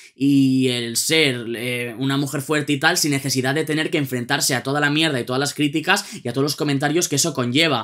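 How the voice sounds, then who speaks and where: In a quiet background, a man speaks at a fairly quick pace with a fairly high pitch. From Spain. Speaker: music youtuber. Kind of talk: album review monologue. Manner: animated. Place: home room.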